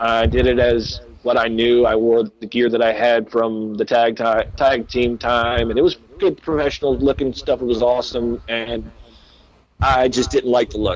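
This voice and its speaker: A man speaks in a Southern accent at a moderate pace. His pitch is medium. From US South. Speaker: pro wrestler. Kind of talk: casual interview chat. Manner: animated storytelling.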